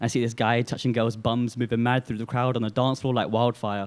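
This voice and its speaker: Fairly quick speech from a man at a medium pitch. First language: Urdu. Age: young. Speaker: spoken word poet. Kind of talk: spoken word poetry performance. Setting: coffee house open mic night. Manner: emotive, hard-hitting.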